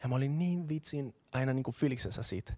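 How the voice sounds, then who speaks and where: Someone with a Colombian accent speaks at a moderate pace in a dark, mellow tone. The sound is dry and close with no echo, on a very clean recording with a silent background. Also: man. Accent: Colombian Spanish accent in Finnish. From Colombia, Bogotá. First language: Spanish (speaking Finnish). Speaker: pastor. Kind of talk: sermon.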